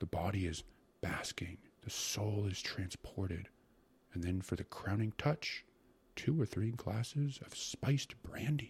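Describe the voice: A man uses a put-on character voice, fairly low in pitch with a husky, rough edge and a slightly mellow tone. He speaks slowly, with ordinary pitch variation.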